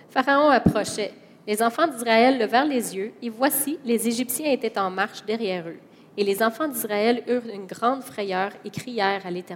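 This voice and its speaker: A woman with a fairly high voice talks fairly slowly, her pitch varying by an ordinary amount. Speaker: interpreter. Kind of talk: consecutive interpreting of a sermon. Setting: church with congregation. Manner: animated, fervent, preacher-like delivery, rising and emphatic when echoing the sermon.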